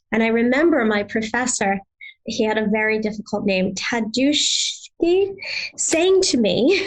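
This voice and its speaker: A somewhat breathy woman's voice, fairly high in pitch, with very wide pitch swings, very even loudness and a fairly slow pace. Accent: American. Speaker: yoga therapy trainer. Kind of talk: interview. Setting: podcast interview.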